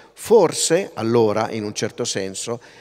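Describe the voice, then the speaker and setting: Ordinary pitch variation runs through the delivery. The voice is a man's. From northern Italy, Pavia; Italy. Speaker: linguist, festival lecturer; festival lecturer. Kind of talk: public lecture. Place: stage. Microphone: podium.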